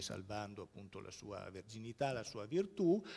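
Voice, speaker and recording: This is a man whose voice sits at a fairly low pitch. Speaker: art historian and museum curator; museum curator lecturer. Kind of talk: lecture. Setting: stage with audience. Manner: halting. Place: hall.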